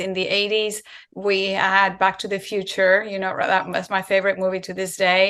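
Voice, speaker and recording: A woman with a Spanish accent, bright and sharp in tone, at a fairly quick pace with monotone, flat intonation. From Spain. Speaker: raw vegan content creator. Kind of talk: interview. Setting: video call.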